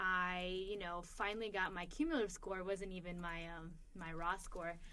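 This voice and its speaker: With audible room echo, a woman speaks in a bright, sharp tone at a medium pitch. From immigrant, grew up partly abroad then US. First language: not English. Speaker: podcast co-host, graduate policy student. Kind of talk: casual conversation. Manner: hesitant, many filler ums.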